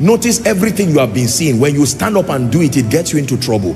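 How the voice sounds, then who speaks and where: Faint background music behind a male speaker. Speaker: preacher. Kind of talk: sermon. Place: hall. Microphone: handheld.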